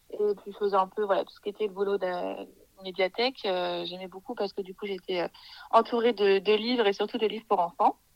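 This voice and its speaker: Her loudness swinging widely, a woman speaks fairly quickly in a flat, monotone intonation. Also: medium pitch for a woman. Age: 20s. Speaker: early childhood educator. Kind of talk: interview. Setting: remote recording. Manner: hesitant with many fillers.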